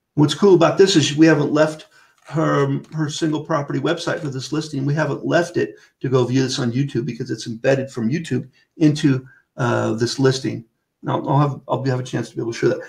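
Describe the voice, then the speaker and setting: Fairly high for a man, this voice has noticeable vocal fry. He moves at a fairly quick pace with fairly even intonation. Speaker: webinar trainer for real estate software. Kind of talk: webinar tutorial. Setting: online webinar with screen share. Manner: fast.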